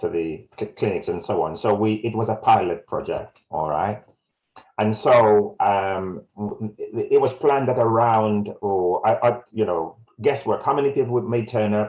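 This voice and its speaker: The speaker has a Jamaican accent. The pace is moderate. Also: man. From South Wales, born in Jamaica. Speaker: community health campaigner. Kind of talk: webinar presentation. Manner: halting.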